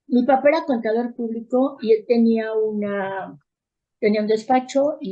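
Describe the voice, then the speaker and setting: A plain, everyday voice from a woman, fairly high in pitch, at a moderate pace. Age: 60s. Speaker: therapist and educator. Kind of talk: interview.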